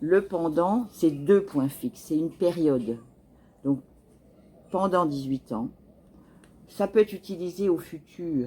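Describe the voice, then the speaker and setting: Very slowly and with long, frequent pauses, a woman speaks at a fairly low pitch with lively intonation. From France. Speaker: French teacher. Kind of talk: tutorial.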